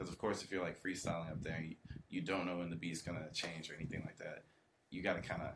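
This man has a very deep, low pitch and fairly even intonation. He talks at a very fast pace. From Atlanta, Georgia. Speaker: rapper. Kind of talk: casual chat.

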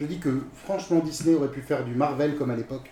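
A man talks fairly quickly, his pitch varying in an ordinary way, over noticeable background noise. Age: 40s. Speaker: new panel member, Star Wars fan. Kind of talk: casual chat.

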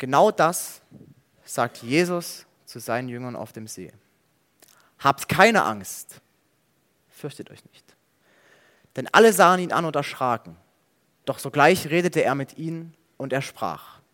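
A man with a bright, sharp tone and fairly high pitch speaks at a fairly slow pace, his intonation lively, his loudness swinging widely, with long, frequent pauses. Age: 20s. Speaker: theology student preaching. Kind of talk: sermon.

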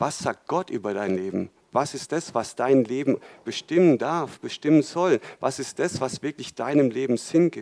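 A man with a normal speaking voice talks at a fairly slow pace in a fairly high pitch and lively intonation, recorded very cleanly with a silent background and a dry, close sound with no echo. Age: 40s. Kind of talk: sermon.

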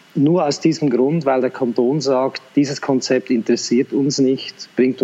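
A man's unremarkable speaking voice at medium pitch, fairly slow, with fairly even intonation. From Central Switzerland, Lucerne. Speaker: school principal and teacher. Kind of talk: interview conversation.

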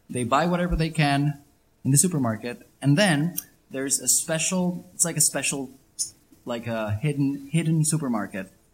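A man speaks at a fairly high pitch in a somewhat breathy voice. His pace is moderate and his pitch varies in an ordinary way. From Venezuela, Caracas. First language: Spanish (speaking Slovak). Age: 20s. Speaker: interviewee on life in Venezuela. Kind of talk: interview with interpreter.

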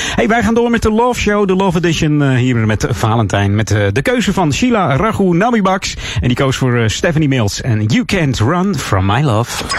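Keeping very even loudness at a moderate pace, a man with a fairly high pitch makes very wide pitch swings over noticeable background noise. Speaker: radio host. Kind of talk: radio dj patter. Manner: relaxed, chatty, with filler 'uh'.

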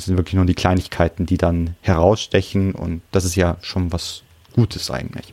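Dark and mellow, a man's very deep, low voice keeps fairly even intonation at a moderate pace. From Bavaria, Munich. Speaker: translator. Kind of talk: casual chat.

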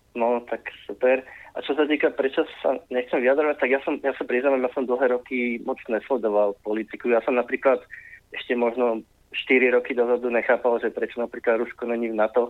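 His intonation stays monotone and flat. The man speaks at a fairly quick pace. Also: medium pitch for a man. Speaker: caller. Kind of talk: phone-in comment.

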